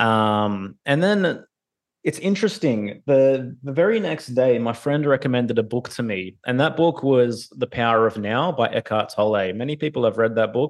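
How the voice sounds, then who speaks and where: A man with an Australian accent talks at a moderate pace, using ordinary pitch variation. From Australia (Sydney). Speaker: podcaster and hip-hop artist. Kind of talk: casual interview. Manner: hesitant, many fillers.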